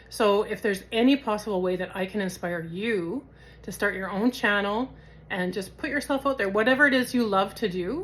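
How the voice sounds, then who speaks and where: The recording is very clean, with a silent background. A woman talks fairly quickly at a medium pitch, with ordinary pitch variation. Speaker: YouTuber vlogger. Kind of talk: casual monologue to camera. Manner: casual, filler-heavy.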